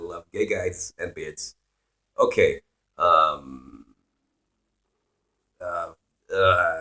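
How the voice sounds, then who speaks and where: A man's voice, dry and close with no echo, has long, frequent pauses and big swings in loudness. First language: Swedish or Finnish. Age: 20s. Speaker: musician and streamer. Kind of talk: casual live stream Q&A. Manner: casual, profane, rambling.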